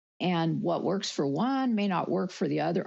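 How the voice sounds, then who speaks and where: A woman with a fairly low voice swings her pitch very widely, with vocal fry throughout. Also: quiet background. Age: 70s. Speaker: workshop participant, former lawyer. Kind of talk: group discussion.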